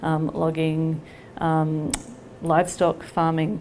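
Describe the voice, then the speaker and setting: A woman with an Australian accent speaks in a fairly low, flat monotone. Room echo and noticeable background noise surround her. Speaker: nonprofit leader. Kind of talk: public presentation. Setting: library hall with audience.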